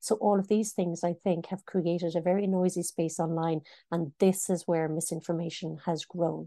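A woman with an Irish accent speaks at a moderate pace in a dark, mellow tone, pitched fairly low. Her intonation is monotone and flat, and the sound is dry and close with no echo. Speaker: news editor. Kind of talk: interview.

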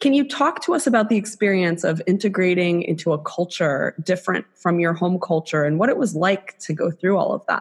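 Somewhat breathy and with an American accent, the voice moves along with hardly any pauses, lively intonation and very even loudness. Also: woman, medium pitch for a woman, fairly quick pace. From South Florida. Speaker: podcast co-host.

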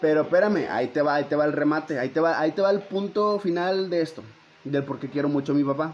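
A man's fairly high voice rushes along at a very fast pace, its pitch varying in an ordinary way. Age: 20s. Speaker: podcaster. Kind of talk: monologue intro; casual chat. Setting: at home with family. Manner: halting.

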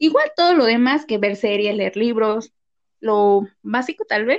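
In an unremarkable speaking voice, a woman talks at a fairly slow pace and fairly high pitch with ordinary pitch variation, the sound dry and close with no echo. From Mexico, Morelos. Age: 20s. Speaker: podcast co-host, marketer. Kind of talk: casual chat.

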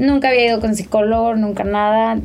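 A woman is speaking. There is audible room echo. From Mexico. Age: 20s. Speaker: image consultant and digital media director. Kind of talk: personal testimony in casual interview.

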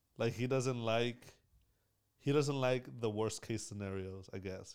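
At a moderate pace, a man talks in an unremarkable speaking voice with a medium pitch. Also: ordinary pitch variation. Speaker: podcast host. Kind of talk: casual chat.

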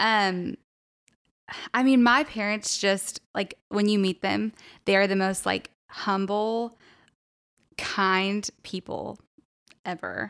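On a very clean recording with a silent background, a woman speaks with an American accent in a dry, close sound with no echo. Her pace is very slow, with long, frequent pauses and fairly even intonation. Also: medium pitch for a woman. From Texas. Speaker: college ministry leader. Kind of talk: casual chat.

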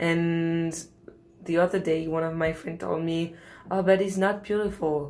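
A woman speaks in a French accent at a moderate pace. Her intonation is monotone and flat, with long, frequent pauses. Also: fairly low pitch for a woman. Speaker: podcast host. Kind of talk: casual chat.

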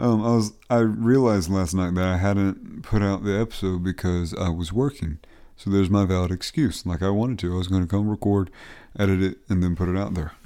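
On a very clean recording with a silent background, a man with a very deep, low pitch and a dark, mellow tone talks at a fairly quick pace. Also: ordinary pitch variation. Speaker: podcast host and plumber. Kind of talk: casual solo monologue. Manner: rambling, full of fillers and self-corrections.

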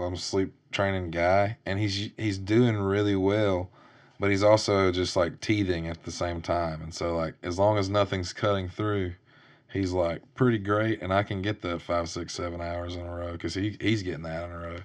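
Monotone, flat intonation from a man with a very deep, low pitch, at a moderate pace against a quiet background. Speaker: podcast host and songwriter. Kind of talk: casual chat.

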